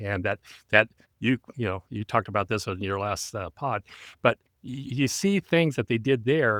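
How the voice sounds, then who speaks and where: A man talks in an ordinary speaking voice at a fairly quick pace, with ordinary pitch variation. The sound is dry and close with no echo, on a very clean recording with a silent background. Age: 60s. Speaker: retired teacher and voice actor. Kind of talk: casual chat.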